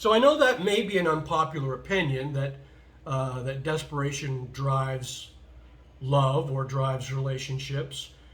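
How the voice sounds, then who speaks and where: A man speaks at a moderate pace with a fairly high pitch and ordinary pitch variation. Audible room echo surrounds his voice. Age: 60s. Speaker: vlogger. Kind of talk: casual monologue vlog. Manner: hesitant, many fillers.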